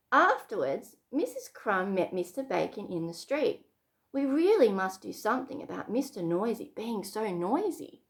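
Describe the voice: With a quiet background, the recording is plain reading aloud.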